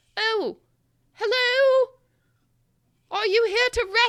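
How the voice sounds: A put-on character voice, squeaky and pitched extremely high.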